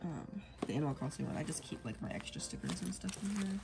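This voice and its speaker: A woman with noticeable background noise. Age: 30s. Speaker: planner vlogger. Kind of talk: casual vlog, plan-with-me chat. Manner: casual, chatty, rambling.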